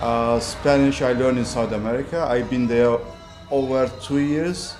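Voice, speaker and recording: With music in the background and audible room echo, a man of medium pitch speaks at a moderate pace with fairly even intonation and very even loudness. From Northern Cyprus. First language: Turkish. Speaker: property developer. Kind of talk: interview.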